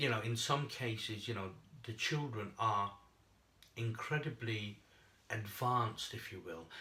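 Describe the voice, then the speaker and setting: Using a bright, sharp tone and a medium pitch, a man speaks at a fairly slow pace with ordinary pitch variation, long, frequent pauses and audible room echo. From England. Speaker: chat show host. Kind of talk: casual chat. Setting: studio. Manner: hesitant, many fillers.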